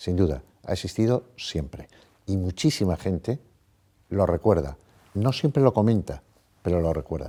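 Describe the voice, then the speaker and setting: A man's very deep, low voice with a dark, mellow tone, a moderate pace, and a very clean recording with a silent background. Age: 60s. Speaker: psychologist. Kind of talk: interview.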